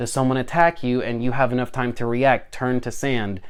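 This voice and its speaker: This man has a medium pitch. His pitch varies in an ordinary way. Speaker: tabletop gaming youtuber. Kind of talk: tutorial. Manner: fast; animated.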